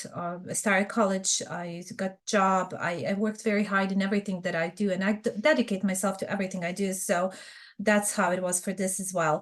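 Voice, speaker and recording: With a Bosnian accent, a woman talks at a fairly quick pace, her medium pitch held in fairly even intonation. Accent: Bosnian Serbian. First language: Serbian. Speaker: fraud prevention expert. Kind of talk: podcast interview.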